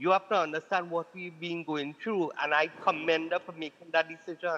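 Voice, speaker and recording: The recording is dry and close with no echo, carrying a man's high-pitched voice. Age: 70s. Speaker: caller. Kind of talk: call-in complaint.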